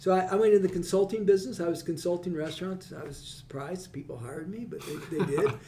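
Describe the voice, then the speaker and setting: A man with an American accent talks at a very fast pace in a high voice, with big swings in loudness and ordinary pitch variation. Noticeable background noise runs under the recording. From central Illinois. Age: 70s. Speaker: chamber of commerce executive, former state legislator. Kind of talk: casual interview conversation. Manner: talkative, repeats words.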